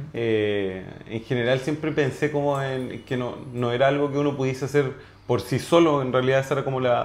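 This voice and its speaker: A man with a Chilean accent speaks in fairly even intonation, with audible room echo. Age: 30s. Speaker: orthodontist. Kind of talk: testimony. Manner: halting, many repetitions and fillers.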